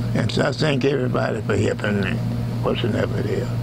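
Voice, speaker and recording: There is noticeable background noise behind this man as he speaks. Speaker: blues pianist. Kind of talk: thank-you message to camera. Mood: grateful, warm. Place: studio. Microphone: lapel.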